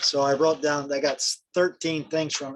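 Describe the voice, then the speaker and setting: A man speaks at a moderate pace in an ordinary speaking voice, his pitch fairly high. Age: 60s. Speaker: network marketer on group call. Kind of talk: casual group call discussion. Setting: group call.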